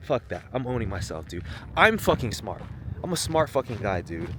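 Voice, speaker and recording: A man speaks loudly at a moderate pace. His medium-pitched voice swings very widely up and down. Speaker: vlogger and author. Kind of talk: casual vlog monologue. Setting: outdoors on a hike.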